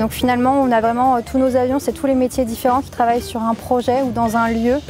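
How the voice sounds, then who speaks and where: Over music in the background, a woman with a high pitch talks at a fairly quick pace in a monotone, flat intonation. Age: 20s. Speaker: drama school student in technical direction. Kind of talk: interview testimony.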